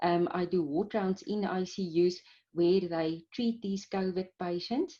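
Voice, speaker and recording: A woman's medium-pitched voice, dark and mellow in tone, with a Pretoria accent and a fairly slow pace. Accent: Pretoria South African. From South Africa, Pretoria. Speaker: clinical microbiologist. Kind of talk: interview. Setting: video call.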